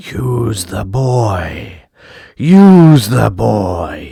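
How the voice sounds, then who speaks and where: The speaker uses a put-on character voice with a low pitch. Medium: read story.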